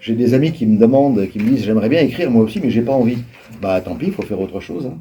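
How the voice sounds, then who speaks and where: This man talks very fast at a medium pitch, his intonation lively. His loudness swings widely. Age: 70s. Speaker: writer. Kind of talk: interview answers to school pupils. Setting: school library. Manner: hesitant with frequent fillers.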